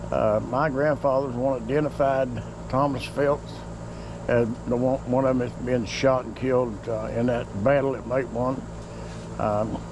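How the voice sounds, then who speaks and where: A man with an Appalachian accent talks at a moderate pace, with noticeable background noise and audible room echo. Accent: hillbilly (Appalachian). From southern West Virginia. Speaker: home cook. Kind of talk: casual talk while cooking. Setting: outdoors on back porch. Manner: halting, many fillers.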